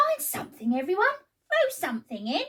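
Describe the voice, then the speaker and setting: A squeaky put-on character voice at a fairly quick pace, with very wide pitch swings. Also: woman. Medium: read story.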